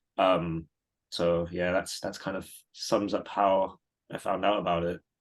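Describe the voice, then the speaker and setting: A man talks with a very deep, low pitch and monotone, flat intonation. The background is quiet. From Singapore. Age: 30s. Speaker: trading community member. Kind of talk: interview. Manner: casual, hesitant with fillers.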